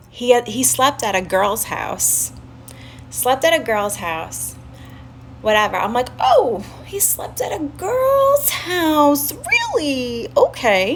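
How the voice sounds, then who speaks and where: A woman talks very slowly while noticeable background noise carries on around her. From Staten Island, New York. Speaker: live streamer. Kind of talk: casual storytelling on a livestream. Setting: live stream with chat.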